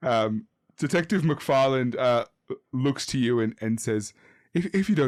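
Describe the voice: Plain reading aloud with lively intonation sits against a quiet background.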